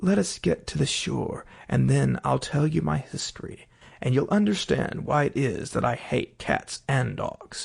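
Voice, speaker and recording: A man puts on a shaky character voice, speaking at a moderate pace. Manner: tense, offended.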